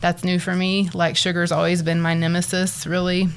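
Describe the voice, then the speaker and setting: In a West Texas accent, a woman speaks at a fairly low pitch. Her intonation is monotone and flat. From Texas Panhandle, Borger. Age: 40s. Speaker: bariatric surgery patient and social worker. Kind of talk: interview.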